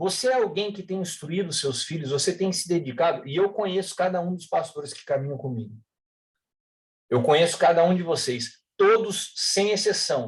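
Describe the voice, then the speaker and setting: At a moderate pace, a man speaks with a high pitch for a man. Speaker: pastor. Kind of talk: sermon. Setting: online livestream.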